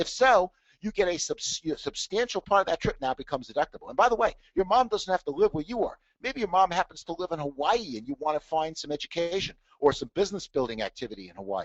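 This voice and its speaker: The speaker talks at a very fast pace. The pitch swings very widely. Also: man, high pitch for a man. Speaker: tax trainer and author. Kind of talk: webinar presentation.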